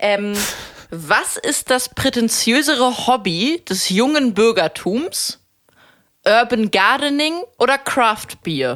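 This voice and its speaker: On a very clean recording with a silent background, a woman with a fairly high pitch speaks at a very slow pace with lively intonation. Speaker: podcast co-host. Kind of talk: casual chat. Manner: loud.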